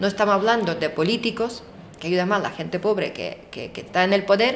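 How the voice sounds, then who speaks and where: Over noticeable background noise, a woman talks at a medium pitch, her pitch varying in an ordinary way. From Ukraine. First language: Ukrainian or Russian (speaking Spanish). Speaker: Ukrainian interviewee. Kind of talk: interview. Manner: halting, with fillers.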